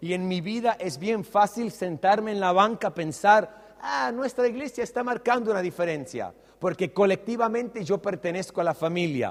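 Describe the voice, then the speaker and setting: Lively, high-pitched speech from a man, with hardly any pauses. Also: moderate pace. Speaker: pastor. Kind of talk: sermon.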